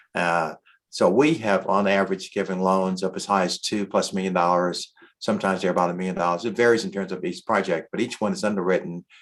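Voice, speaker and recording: A man talks at a very fast pace in a very deep, low voice. The background is quiet. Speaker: county housing official. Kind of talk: town hall panel presentation. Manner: fast-talking; hesitant, many filler words.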